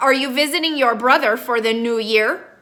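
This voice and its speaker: A woman's high-pitched, put-on character voice. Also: moderate pace. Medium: read story. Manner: bored.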